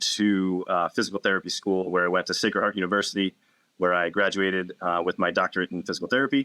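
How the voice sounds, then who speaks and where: Dry, close, with no echo and a quiet background, the recording has a man of fairly low pitch and a bright, sharp tone talking at a very fast pace. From Massachusetts, south of Boston. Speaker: physical therapist and wellness clinic owner. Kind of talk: podcast interview.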